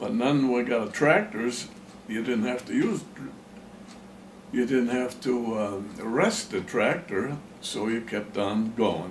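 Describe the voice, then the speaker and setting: A man at a very slow pace with ordinary pitch variation, long, frequent pauses and audible room echo. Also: medium pitch for a man. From Pennsylvania, US. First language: German. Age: 90s. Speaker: farmer. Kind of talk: oral history interview. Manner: halting.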